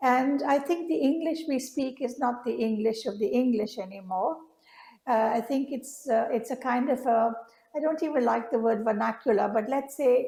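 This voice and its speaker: With an Indian accent, a woman speaks in a high voice with a dark, mellow tone and ordinary pitch variation, and room echo is audible. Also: moderate pace. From India (Bombay). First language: Indian language (not English). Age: 70s. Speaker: artist. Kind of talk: public conversation. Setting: stage with audience. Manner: halting.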